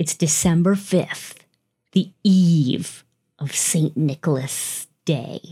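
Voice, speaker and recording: In an American accent, a woman speaks at a very slow pace with a fairly low pitch and ordinary pitch variation. Her tone is dark and mellow, and somewhat breathy. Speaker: podcast host. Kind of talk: ghost story telling. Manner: hushed, slow, suspenseful storytelling build-up.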